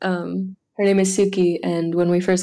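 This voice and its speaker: A woman with a French accent, fairly low pitch and monotone, flat intonation. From France. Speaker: author. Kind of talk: casual chat.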